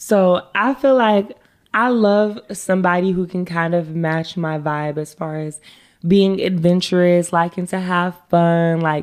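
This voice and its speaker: She has an ordinary speaking voice, fairly low for a woman, with ordinary pitch variation. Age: 20s. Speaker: social media manager. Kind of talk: casual chat.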